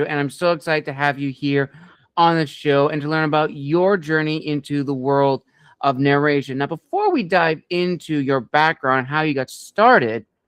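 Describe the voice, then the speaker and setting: At a moderate pace, a man speaks in a normal speaking voice with a fairly high pitch and fairly even intonation. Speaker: podcast interview host. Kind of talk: interview host talk.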